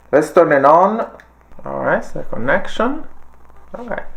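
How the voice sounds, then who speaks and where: The speaker has a slight Italian accent. Noticeable background noise runs underneath. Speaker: tech product reviewer. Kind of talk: product review tutorial.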